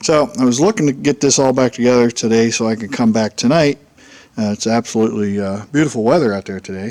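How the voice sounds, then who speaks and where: The speech runs at a very fast pace. Pitch variation is ordinary. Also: man, medium pitch for a man. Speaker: homebuilt aircraft builder. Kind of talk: casual workshop vlog. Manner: halting, many fillers.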